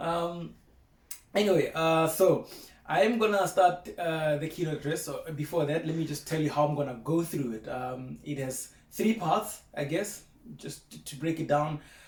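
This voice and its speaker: A man's fairly high voice at a moderate pace, with ordinary pitch variation, big swings in loudness and noticeable background noise. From South Africa, small Afrikaans-speaking town. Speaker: broadcast meteorologist, former teaching assistant. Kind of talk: keynote speech. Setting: video recording at home. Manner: casual, hesitant with fillers.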